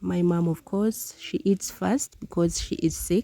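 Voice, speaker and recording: A woman with a Ugandan accent speaks in a dark, mellow tone, the sound dry and close with no echo. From Uganda (southwestern, Ankole). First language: Runyankole. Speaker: village lifestyle vlogger. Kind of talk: casual cooking vlog narration.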